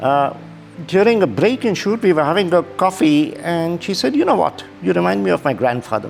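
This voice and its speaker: With music in the background, a man speaks at a fairly quick pace in a high pitch, his voice swinging very widely in pitch. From India. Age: 60s. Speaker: model. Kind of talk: interview.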